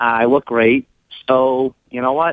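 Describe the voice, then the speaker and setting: A man with a Boston accent speaks in a dry sound with no echo. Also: quiet background. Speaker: caller. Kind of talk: phone-in conversation. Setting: phone call. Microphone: phone line.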